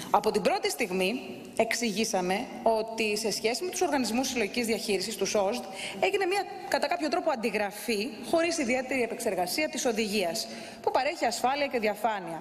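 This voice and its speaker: The speech moves at a moderate pace with lively intonation. Music plays in the background. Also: woman. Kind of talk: parliamentary speech. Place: hall. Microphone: podium.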